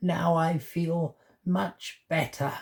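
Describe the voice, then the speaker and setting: The pitch stays in the middle range. The voice is a put-on character voice. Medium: read story.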